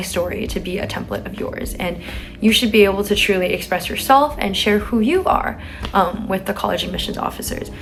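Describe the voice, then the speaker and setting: Amid noticeable background noise and audible room echo, a woman speaks at a very fast pace with a medium pitch and ordinary pitch variation. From San Francisco, California. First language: Chinese. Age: young. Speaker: college student vlogger. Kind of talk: advice vlog. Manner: casual with filler words.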